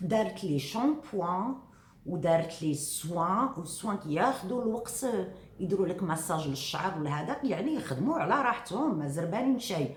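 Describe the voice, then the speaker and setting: A woman with a Moroccan accent and a medium pitch speaks at a moderate pace with very wide pitch swings, with audible room echo and noticeable background noise. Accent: Moroccan Arabic (Darija). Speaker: vlogger. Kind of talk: casual vlog talk to viewers. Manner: soft-spoken; hesitant fillers.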